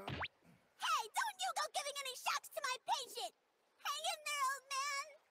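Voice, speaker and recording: In a put-on character voice, the speaker squeaks at an extremely high pitch and a moderate pace, with sound effects in the background. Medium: fan dub. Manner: earnest, protective.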